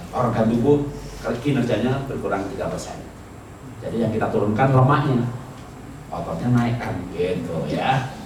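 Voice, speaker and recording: Pausing long and often, a man of medium pitch talks at a moderate pace with ordinary pitch variation, with audible room echo and noticeable background noise. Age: 60s. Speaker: pastor. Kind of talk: sermon. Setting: church retreat with live audience. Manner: conversational, interactive with audience.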